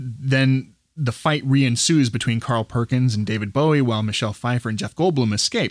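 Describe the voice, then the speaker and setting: On a very clean recording with a silent background, a man speaks in a plain, everyday voice. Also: dry, close sound with no echo. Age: 40s. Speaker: movie podcast co-host. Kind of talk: casual chat.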